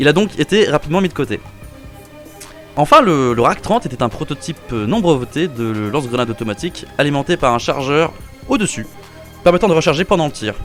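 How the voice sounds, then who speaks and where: With music in the background, a man with a fairly high pitch talks at a fairly quick pace, his pitch swinging very widely between long, frequent pauses. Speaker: firearms history video host. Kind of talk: casual educational narration. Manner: casual, joking.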